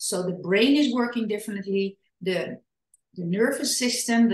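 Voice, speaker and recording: A woman with a Dutch accent speaks at a moderate pace, her voice fairly high and somewhat breathy. Her pitch variation is ordinary. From Netherlands. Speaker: parenting and trauma educator, author. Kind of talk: podcast interview. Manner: halting.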